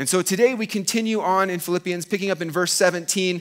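The speaker is a man talking at a moderate pace. The background is quiet. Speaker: pastor preaching. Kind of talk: sermon. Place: church.

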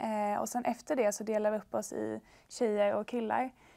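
At a moderate pace, a woman talks with a fairly high voice. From Sweden (Värnamo, Småland); Sweden. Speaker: bible school student; talk show guest. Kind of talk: testimony. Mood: warm, reflective. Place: studio. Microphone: lapel.

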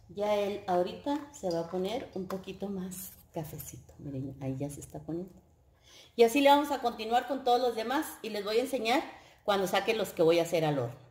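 With audible room echo over a quiet background, a woman speaks at a fairly quick pace, her loudness swinging widely and her pitch swinging very widely. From northern Mexico, Coahuila. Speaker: home cooking youtuber. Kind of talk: cooking tutorial. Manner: warm, chatty. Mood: warm, friendly. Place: kitchen. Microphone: camera far.

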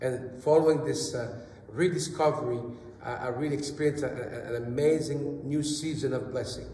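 Against light background noise and audible room echo, a man speaks fairly slowly. His pitch sits fairly high, and his intonation stays fairly even. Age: 30s. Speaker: church interpreter. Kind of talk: live interpretation of a testimony. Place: church. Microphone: camera far.

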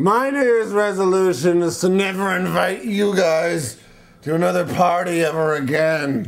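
With a high pitch and very even loudness, a man talks at a moderate pace. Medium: audio drama. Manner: whiny, shouting.

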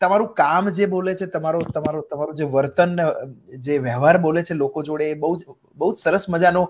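A man talks at a high pitch. His pitch varies in an ordinary way. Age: young. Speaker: show host; talk show host. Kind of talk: casual interview. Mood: warm, admiring, lively. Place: home room. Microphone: video call.

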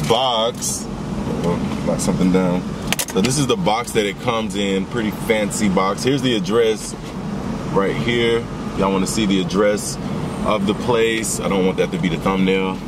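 A man speaks with ordinary pitch variation at a moderate pace while loud noise fills the background. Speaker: food vlogger. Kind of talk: casual vlog chat. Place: car.

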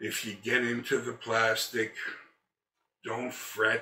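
A man talks at a very slow pace, with audible room echo and light background noise. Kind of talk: tutorial. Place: garage.

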